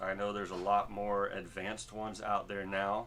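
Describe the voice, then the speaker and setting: At a moderate pace, a man with a fairly low pitch speaks in a bright, sharp tone. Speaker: musician, singer. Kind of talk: tutorial. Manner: casual, many fillers.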